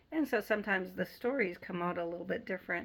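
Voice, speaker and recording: A woman's bright, sharp voice with vocal fry, on a very clean recording with a silent background. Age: 60s. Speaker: Bible teacher. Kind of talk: Bible study talk. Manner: casual, halting with fillers.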